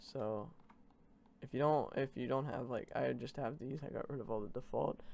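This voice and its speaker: Vocal fry marks this man's voice. He keeps to a moderate pace. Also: medium pitch for a man, ordinary pitch variation. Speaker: streamer giving software tutorial. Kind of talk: live-streamed tutorial. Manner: casual, hesitant with many fillers.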